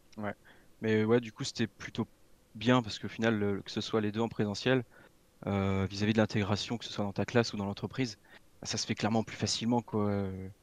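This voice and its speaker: Speaking at a fairly quick pace yet with long, frequent pauses, a man with a fairly low pitch keeps a monotone, flat intonation in a dry, close recording with no echo, very clean and with a silent background. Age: 20s. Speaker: computing apprentice student. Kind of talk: casual interview.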